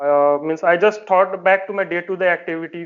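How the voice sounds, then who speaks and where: In an Indian accent, a man talks at a fairly quick pace with a high pitch. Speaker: defence exam candidate and working professional. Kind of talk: interview. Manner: hesitant, many fillers.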